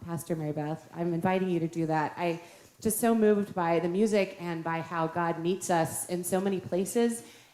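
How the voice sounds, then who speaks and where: A woman's fairly low voice at a moderate pace, with fairly even intonation and audible room echo. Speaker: pastor. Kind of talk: church welcome. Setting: church.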